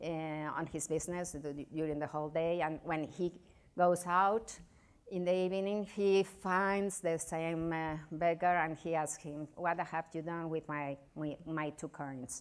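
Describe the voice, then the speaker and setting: A woman with a Spanish accent talks at a fairly slow pace, her fairly low pitch held in fairly even intonation. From Spain. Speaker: novelist and journalist. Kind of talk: lecture. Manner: halting.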